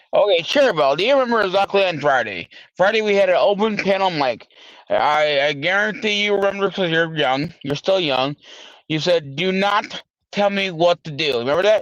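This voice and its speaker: Loud and fairly quick, a man speaks in a high pitch with ordinary variation, the sound dry and close with no echo. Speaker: livestream host. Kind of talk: casual panel discussion.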